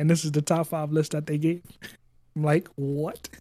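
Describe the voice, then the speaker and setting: A man speaks at a fairly high pitch with flat, monotone intonation. His tone is dark and mellow. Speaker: podcast guest, gaming podcaster. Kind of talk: casual chat.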